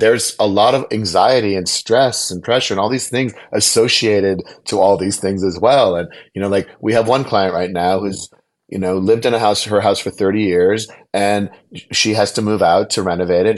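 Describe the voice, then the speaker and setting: A man with an American accent speaks at a fairly quick pace in a normal speaking voice, his pitch fairly low with ordinary variation, over a quiet background. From US Midwest, Wisconsin. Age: 50s. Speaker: interior designer. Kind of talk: interview.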